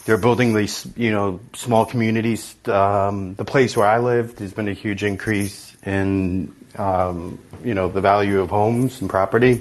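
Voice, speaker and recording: A man with a plain, everyday voice speaks in an American accent at a fairly low pitch. His pace is fairly slow and his intonation fairly even. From New York City (Far Rockaway). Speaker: caller, entrepreneur. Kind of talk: casual chat.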